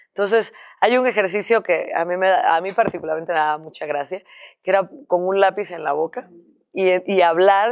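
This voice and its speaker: Moderate pace with ordinary pitch variation. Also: woman, quiet background. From Cuba. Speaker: singer; guest. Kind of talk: interview; interview answer. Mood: amused, cheerful. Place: studio.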